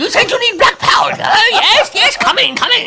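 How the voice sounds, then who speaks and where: Someone performs a put-on character voice at a moderate pace amid loud background noise. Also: man, extremely high pitch for a man. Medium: actual play. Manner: fast, repetitive, broken phrasing.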